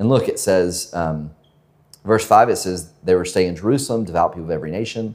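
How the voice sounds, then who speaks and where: Delivered at a very fast pace with an American accent, the speech shows ordinary pitch variation on a very clean recording with a silent background. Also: man, very deep, low pitch for a man. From US South, Georgia (northwest of Atlanta). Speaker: pastor. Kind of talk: sermon. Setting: church with congregation. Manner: halting, many fillers and repetitions.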